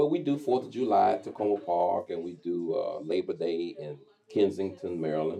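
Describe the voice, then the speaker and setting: A man with a Texas accent at a moderate pace. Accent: Texas accent, kept. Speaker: radio host and zydeco promoter. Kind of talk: interview.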